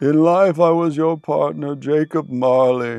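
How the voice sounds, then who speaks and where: Fairly slow, fairly high put-on character voice from a man. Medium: read story. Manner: solemn, slow and doom-laden.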